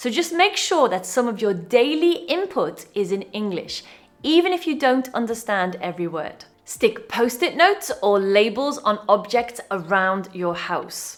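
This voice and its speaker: Against music in the background, a speaker with a British accent talks at a fairly slow pace with very wide pitch swings. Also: woman, fairly high pitch for a woman. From UK. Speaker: English teacher. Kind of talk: online English lesson.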